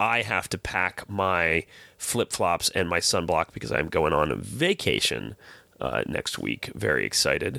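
Very deep and low with vocal fry yet a bright, sharp tone, a man's voice moves through very wide pitch swings at a fairly slow pace, captured in a very clean recording with a silent background and a dry, close sound with no echo. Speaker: podcast host. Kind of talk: casual chat.

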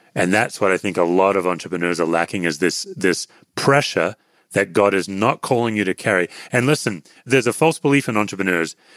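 In a very clean recording with a silent background and a dry, close sound with no echo, a man talks at a fairly quick pace. His pitch is fairly low and his intonation lively. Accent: Australian. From Western Australia (Perth). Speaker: author and former pastor, anxiety teacher. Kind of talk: interview conversation.

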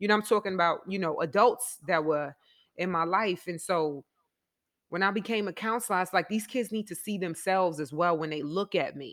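Recorded very cleanly against a silent background, a woman speaks at a fairly quick pace with a New York accent. Her pitch is medium, with ordinary variation. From New York, the Bronx. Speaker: former basketball player, school counselor and coach. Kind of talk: casual chat.

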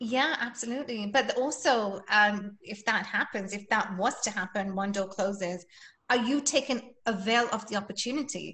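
With an English accent, a woman speaks at a moderate pace in a fairly high pitch and a bright, sharp tone. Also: ordinary pitch variation. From England. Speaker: fitness instructor. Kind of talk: interview.

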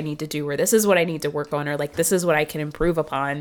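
A woman's very fast, animated speech against noticeable background noise. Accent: American. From US South, Marietta near Atlanta, Georgia. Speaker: comedian and writer. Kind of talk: casual chat.

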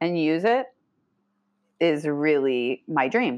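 Very wide pitch swings from a woman, set against a quiet background. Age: 40s. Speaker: life coach. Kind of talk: casual chat.

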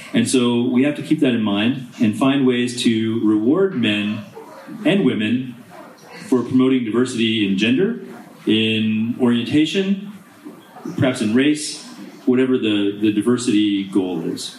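The speech has lively intonation and a fairly slow pace, with noticeable background noise. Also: man, medium pitch for a man. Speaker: diplomat. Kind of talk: panel discussion. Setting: stage with audience.

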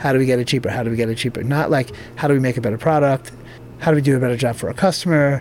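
At a very fast pace, a man talks at medium pitch with ordinary pitch variation against noticeable background noise. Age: 40s. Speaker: clothing brand founder. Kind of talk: interview.

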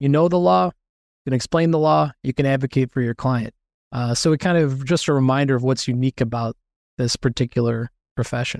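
Lively in intonation, a man speaks at a fairly quick pace and medium pitch, his loudness very even. The recording is very clean, with a silent background and a dry, close sound with no echo. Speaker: personal injury lawyer. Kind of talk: casual interview chat. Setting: podcast recording with good mic.

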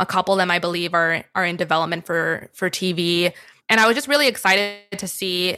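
Music plays in the background while the speaker moves at a fairly quick pace with fairly even intonation. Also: woman. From US, Miami, Florida. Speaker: media company co-founder. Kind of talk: interview.

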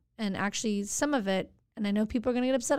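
Speaking at a very fast pace, a woman has a fairly high pitch and ordinary pitch variation. She talks with an American accent. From Santa Monica, California, US. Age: 40s. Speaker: city council member. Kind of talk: casual interview. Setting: podcast studio.

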